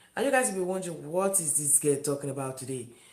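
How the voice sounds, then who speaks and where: Audible room echo surrounds a woman talking at a very fast pace. Her pitch is very deep and low, with ordinary variation. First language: not English. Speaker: live-stream vlogger. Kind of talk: live stream chat with viewers.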